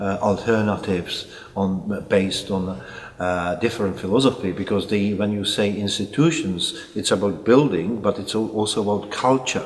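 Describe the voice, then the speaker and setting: Over noticeable background noise and audible room echo, a man speaks at a fairly low pitch with ordinary pitch variation. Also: moderate pace. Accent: Czech. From Czech Republic, Prague. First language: Czech. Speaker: psychiatrist. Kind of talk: interview. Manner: halting.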